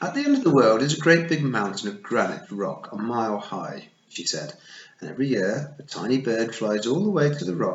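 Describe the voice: Lively intonation marks the delivery. It is plain reading aloud.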